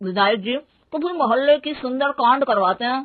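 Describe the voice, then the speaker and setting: Putting on a character voice, a woman mumbles at a fairly quick pace, high-pitched, with lively intonation. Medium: cartoon. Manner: mumbled, indistinct through paan.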